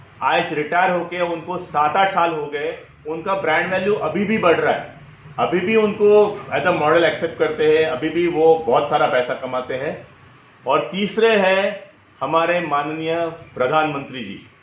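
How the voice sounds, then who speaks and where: With audible room echo and noticeable background noise, a man with a high voice speaks in a Marathi accent. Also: ordinary pitch variation. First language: Marathi (speaking Hindi). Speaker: personal branding coach. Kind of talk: interview.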